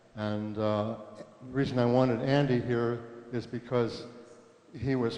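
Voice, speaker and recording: Speaking very slowly in a monotone, flat delivery, a man with a medium-pitched voice is heard over noticeable background noise. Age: 80s+. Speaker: church member remembering history. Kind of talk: recorded reminiscence. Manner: halting.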